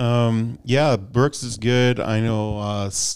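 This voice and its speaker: On a very clean recording with a silent background, a man speaks with a Midwestern American accent. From US Midwest. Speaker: gravel cycling podcast host. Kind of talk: casual chat.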